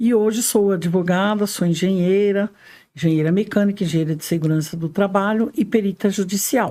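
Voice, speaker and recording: A woman speaks at a moderate pace in a dark, mellow tone, her medium pitch moving with ordinary variation, on a very clean recording with a silent background. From Brazil, greater São Paulo (moved from Minas Gerais as a child). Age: 70s. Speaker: lawyer and engineer, guest. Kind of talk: podcast interview.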